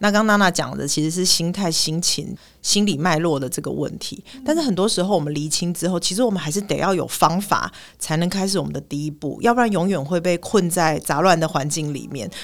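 Hardly any pauses break up the fairly quick delivery. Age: 40s. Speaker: clinical psychologist. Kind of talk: casual chat.

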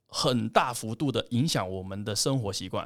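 The recording of this man talking is very clean, and the background is completely silent. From Hong Kong. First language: Cantonese (speaking Chinese). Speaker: plant-based food company representative. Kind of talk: casual interview.

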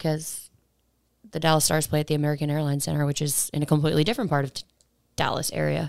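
A woman talks at a very fast pace with a very deep, low pitch and monotone, flat intonation. Long, frequent pauses break up her speech in a very clean recording with a silent background. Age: 30s. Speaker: podcast co-host, touring crew member. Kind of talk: casual chat. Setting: studio.

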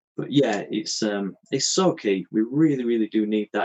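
In a dry, close recording with no echo, a man speaks with lively intonation in a plain, everyday voice. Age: 30s. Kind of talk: podcast interview.

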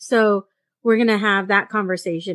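At a moderate pace against a quiet background, a woman speaks in an ordinary speaking voice, with medium pitch and ordinary pitch variation. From Mexican-American. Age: 40s. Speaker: podcast host. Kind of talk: casual chat.

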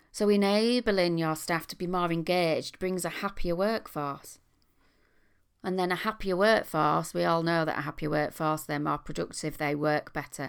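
The speech moves at a moderate pace with ordinary pitch variation on a very clean recording with a silent background. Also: woman, fairly low pitch for a woman. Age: 50s. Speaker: leadership coach podcast host. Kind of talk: solo podcast monologue; event promotion. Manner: animated.

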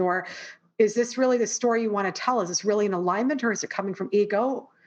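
A woman's normal speaking voice with a Canadian accent, medium in pitch, at a fairly quick pace with ordinary pitch variation, over a quiet background. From Canada. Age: 40s. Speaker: performer and coach. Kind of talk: casual interview chat.

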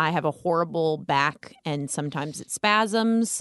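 A woman with an American accent uses an ordinary speaking voice, fairly low in pitch, at a fairly slow pace with lively intonation. The sound is dry and close, with no echo. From Las Vegas, US. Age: 30s. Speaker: comedian. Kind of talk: casual chat. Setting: studio.

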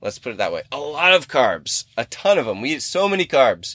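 Here is a man with a plain, everyday voice and lively intonation. He speaks at a moderate pace in a dry, close sound with no echo. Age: 30s. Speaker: fitness podcast host and coach. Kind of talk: casual solo podcast monologue. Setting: in a car in a parking lot.

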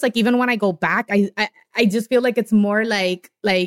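A woman talks at a moderate pace with fairly even intonation, the sound dry and close with no echo. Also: medium pitch for a woman.

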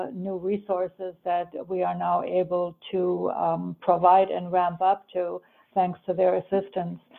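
At a very slow pace, a woman speaks in a medium pitch. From Germany, raised in US from age 10. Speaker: nonprofit CEO. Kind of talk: interview.

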